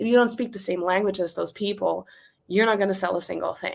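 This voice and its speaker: A woman with a German accent talks at a very fast pace and a medium pitch, her intonation fairly even. The recording is very clean, with a silent background. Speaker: business owner and copywriting coach. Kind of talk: interview.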